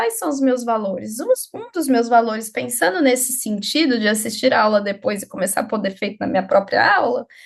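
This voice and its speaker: A woman speaks at a fairly quick pace. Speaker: psychologist and lecturer. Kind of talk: live workshop lecture. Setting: live online workshop. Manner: fast.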